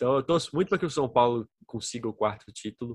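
A man speaks with a normal speaking voice at a medium pitch and ordinary pitch variation. The sound is dry and close with no echo. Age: 20s. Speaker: podcaster and law graduate. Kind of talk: casual chat. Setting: home.

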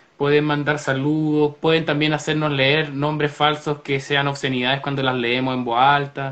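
A man with a Chilean accent speaks at a moderate pace, with hardly any pauses, in a fairly high pitch. His intonation is monotone and flat, and background noise is noticeable. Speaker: podcast co-host. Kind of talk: casual chat. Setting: live stream.

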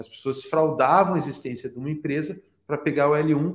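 A man talks fairly quickly in a monotone, flat delivery at a fairly high pitch. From Brazil. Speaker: immigration consultant. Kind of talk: podcast interview.

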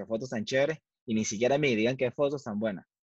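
There is a quiet background as a man speaks in a Venezuelan accent. His pitch variation is ordinary. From Venezuela (Valencia). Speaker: photographer. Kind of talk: casual interview.

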